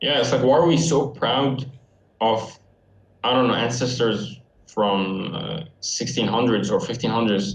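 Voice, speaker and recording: A man with an Arabic accent talks at a moderate pace and medium pitch, with ordinary pitch variation. Long, frequent pauses break his speech amid audible room echo and noticeable background noise. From Syria. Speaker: university student. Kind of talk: casual chat.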